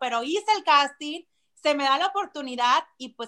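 A woman's raised, projected voice, high-pitched, with a bright, sharp tone and lively intonation at a moderate pace, on a very clean recording with a silent background. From Mexico, Monterrey. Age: 30s. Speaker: TV weather presenter. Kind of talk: interview.

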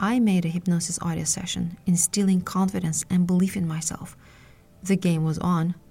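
A woman speaks in a fairly low, somewhat breathy voice. Her tone is dark and mellow, and her intonation is flat and monotone. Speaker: hypnotherapist. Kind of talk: guided hypnosis induction. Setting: solo audio podcast. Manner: slow, soothing, calm; hushed, rhythmic, hypnotic.

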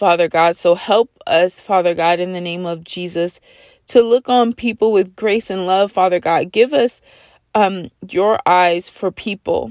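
A woman with an ordinary speaking voice talks at a fairly slow pace and medium pitch, with ordinary pitch variation, in a very clean recording with a silent background and a dry, close sound with no echo. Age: 30s. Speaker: prayer podcast host. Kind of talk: fervent spontaneous spoken prayer, intercessory, repetitive invocations. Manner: earnest, pleading rhythm with constant repeated refrains; warm, heartfelt, building intensity.

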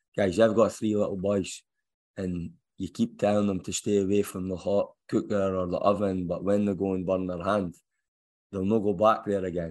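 A man with a Scottish accent, fairly low in pitch, monotone and flat, at a moderate pace. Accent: Scottish, noticeable. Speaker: football head coach. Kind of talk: press conference Q&A. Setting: press room.

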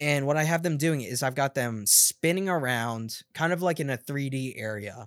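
In a very clean recording with a silent background, a man with a normal speaking voice talks at a moderate pace and a fairly high pitch, with ordinary pitch variation and hardly any pauses. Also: dry, close sound with no echo. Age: 20s. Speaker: podcast co-host. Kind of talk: casual chat.

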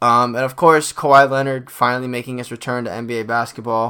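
The man's medium-pitched voice has a bright, sharp tone and a monotone, flat intonation. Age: 20s. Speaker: sports podcast host. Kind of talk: casual solo sports commentary. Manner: filler-heavy, frequent ums and uhs.

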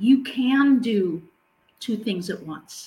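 At a very slow pace, a woman speaks in a somewhat breathy voice at fairly high pitch with ordinary pitch variation. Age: 60s. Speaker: grief coach and podcast host. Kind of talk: casual chat. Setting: live recording.

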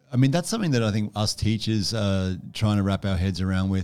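In a very clean recording with a silent background, a man speaks at a moderate pace in a fairly low voice. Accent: Australian. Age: 30s. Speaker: primary school teacher. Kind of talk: school podcast interview. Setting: studio.

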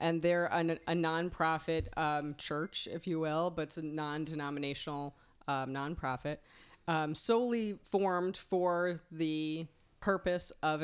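A woman talks with a plain, everyday voice at a fairly low pitch, a fairly slow pace and ordinary pitch variation. The recording is very clean, with a silent background. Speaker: wedding minister. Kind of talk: interview chat about wedding services.

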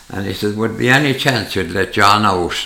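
With a rural Irish accent, a man speaks at a moderate pace and a fairly low pitch, his intonation lively. Noticeable background noise and audible room echo surround him. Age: 80s+. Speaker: retired farmer. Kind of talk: casual chat. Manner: halting.

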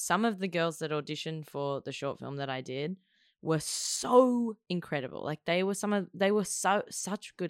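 A woman with an Australian accent speaks at a moderate pace with lively intonation, in a very clean recording with a silent background and a dry, close sound with no echo. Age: 20s. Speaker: actor and filmmaker. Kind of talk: casual chat.

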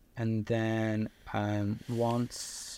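With an English accent, a man speaks at a fairly low pitch in a monotone, flat delivery. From Liverpool, northern England. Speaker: video production company owner, filmmaker. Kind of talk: casual interview chat.

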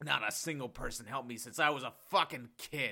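A man puts on a raspy character voice with medium pitch at a fairly quick pace. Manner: bitter, resentful.

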